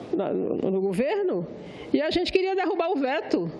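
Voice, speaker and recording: Room echo is audible along with noticeable background noise. A woman speaks at a moderate pace. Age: 60s. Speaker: senator. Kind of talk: parliamentary speech. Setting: senate floor.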